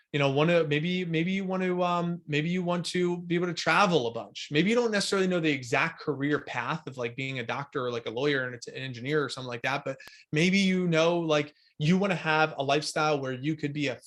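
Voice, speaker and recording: A man with a fairly high pitch and ordinary pitch variation talks at a very fast pace on a very clean recording with a silent background. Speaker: life coach. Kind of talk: recorded coaching workshop. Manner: casual with many fillers.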